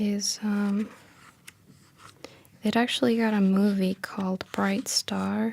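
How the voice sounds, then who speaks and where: Soft-spoken and gentle in tone, a woman at medium pitch talks very slowly in a flat monotone with long, frequent pauses. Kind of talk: casual intro to camera, talking about the poet. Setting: studio, library room. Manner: soft-spoken, gentle.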